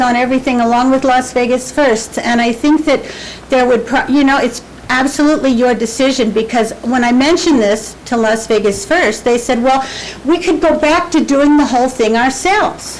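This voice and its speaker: A woman speaks at a high pitch and moderate pace, her loudness very even. Room echo and noticeable background noise can be heard. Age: 60s. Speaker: nonprofit volunteer. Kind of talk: public comment at council meeting. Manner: halting.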